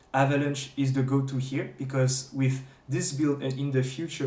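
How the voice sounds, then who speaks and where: Noticeable background noise and audible room echo surround a medium-pitched man talking at a moderate pace. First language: not English. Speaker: gaming streamer. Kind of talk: tutorial. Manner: halting, many fillers and restarts; unscripted.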